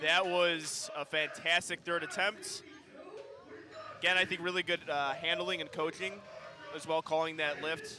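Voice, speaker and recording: Long, frequent pauses break up a man's speech at a moderate pace. Noticeable background noise runs underneath. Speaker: powerlifting commentator. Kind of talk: live commentary.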